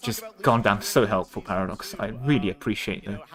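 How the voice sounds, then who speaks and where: Amid noticeable background noise, a man talks with lively intonation. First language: not English. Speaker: streamer. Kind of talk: livestream watchalong commentary. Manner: casual, halting with fillers.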